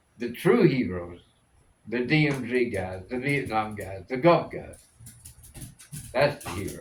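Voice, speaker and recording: Amid audible room echo, a man speaks at a fairly slow pace and medium pitch, somewhat breathy, with lively intonation, big swings in loudness, and long, frequent pauses. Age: 80s+. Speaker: military veteran. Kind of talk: casual chat.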